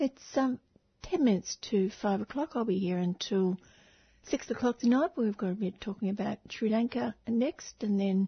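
Her voice is fairly high and somewhat breathy. The woman speaks at a moderate pace with lively intonation. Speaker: community radio host. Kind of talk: radio interview and presenting.

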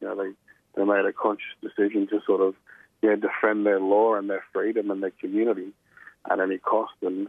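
A fairly low male voice with an Australian accent at a fairly quick pace. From Brisbane, Australia. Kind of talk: radio interview.

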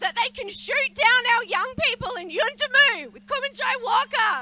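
A woman with an Australian accent projects a raised voice at an extremely high pitch. Her intonation is lively, and background noise is noticeable. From Western Australia (Noongar). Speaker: lawyer and campaigner. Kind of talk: rally speech. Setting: outdoor protest rally.

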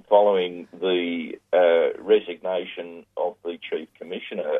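A man speaks with an Australian accent. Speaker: labour relations commentator. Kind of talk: phone interview. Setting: phone call.

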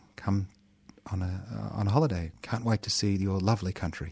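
Somewhat breathy, a man talks at a fairly quick pace in a fairly low pitch. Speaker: community radio co-host. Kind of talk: casual chat. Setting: studio.

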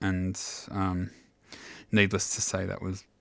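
Recorded very cleanly against a silent background, with a dry, close sound and no echo, a man speaks at a fairly slow pace and a fairly low pitch. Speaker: radio DJ. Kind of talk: radio dj patter introducing and back-announcing tracks. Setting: radio studio broadcast. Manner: casual, laid-back, hesitant with frequent 'um' fillers; unhurried, conversational, informal.

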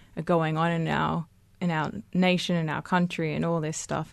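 A normal speaking voice proceeds at a moderate pace. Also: woman. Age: 20s. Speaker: student activist. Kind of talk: casual radio interview.

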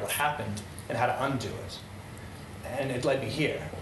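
Amid noticeable background noise, a man talks in a room with audible echo. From Netherlands. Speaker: event speaker. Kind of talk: public talk.

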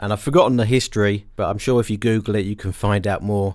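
On a very clean recording with a silent background, a man with an English accent speaks in a relaxed tone at a fairly low pitch with fairly even intonation. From England. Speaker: musician and music producer. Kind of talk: radio dj patter, introducing his own album tracks. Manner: relaxed, conversational, reflective.

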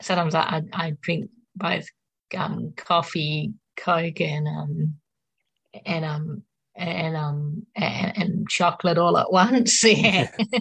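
Very slowly and with long, frequent pauses, a woman speaks at a fairly low pitch with vocal fry. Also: ordinary pitch variation. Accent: Australian. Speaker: mental health speaker and poet. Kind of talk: casual interview with poetry reading. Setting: radio studio.

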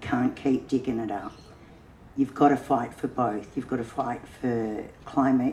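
With an Australian accent, the speaker talks at a fairly slow pace with fairly even intonation and long, frequent pauses. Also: woman, very deep, low pitch for a woman. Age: old. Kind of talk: panel discussion.

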